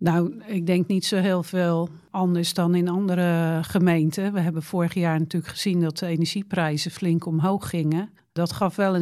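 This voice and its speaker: In a very clean recording with a silent background, a woman with a fairly low, dark, mellow voice talks at a moderate pace with fairly even intonation. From Netherlands, Rotterdam. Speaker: local politician. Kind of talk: interview.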